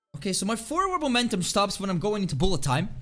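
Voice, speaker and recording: With a Swedish accent, a man speaks loudly at a high pitch, his pitch swinging very widely. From Sweden. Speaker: video game streamer. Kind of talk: live game stream commentary. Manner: fast; thinking out loud.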